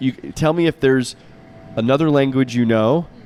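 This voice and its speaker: Noticeable background noise sits behind the speaker. He is a man of medium pitch with an American accent. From US, Florida. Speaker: podcast host, visiting professor. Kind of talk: interview. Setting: outdoors on a campus terrace.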